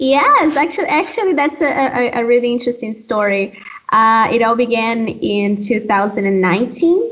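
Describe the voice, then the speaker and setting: With a Brazilian accent and lively intonation, a high-pitched woman talks fairly slowly at very even loudness over noticeable background noise. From Brazil, Amazon region (Pará). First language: Portuguese. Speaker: doctoral student. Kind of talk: interview.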